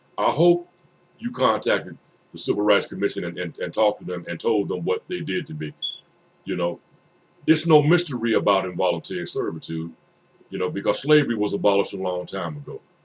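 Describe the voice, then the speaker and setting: A man's fairly low voice with very wide pitch swings, a fairly quick pace and long, frequent pauses. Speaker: webcam vlogger. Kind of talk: monologue to camera. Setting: webcam recording. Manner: repetitive, stammering.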